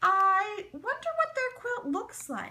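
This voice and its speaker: Putting on a squeaky character voice, a woman talks at an extremely high pitch, fairly slowly, with very wide pitch swings. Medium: read story. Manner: haughty.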